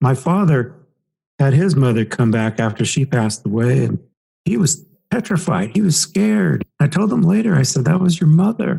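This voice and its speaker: His pitch is fairly high and swings very widely, with vocal fry throughout. The man's tone is dark and mellow at a moderate pace. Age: 60s. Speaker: past life regression hypnotist and author. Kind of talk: podcast interview.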